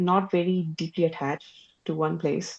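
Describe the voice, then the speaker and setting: A woman's fairly low voice. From India, Delhi. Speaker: physicist and artist. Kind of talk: interview conversation. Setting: podcast interview.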